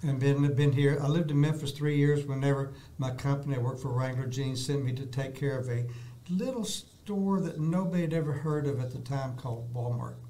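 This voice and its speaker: The speaker has a Texan accent and a fairly quick pace, with ordinary pitch variation. Audible room echo and noticeable background noise surround the voice. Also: man, fairly high pitch for a man. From Texas, Dallas. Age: 70s. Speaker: artist, retired salesman. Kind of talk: interview, casual chat. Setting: studio.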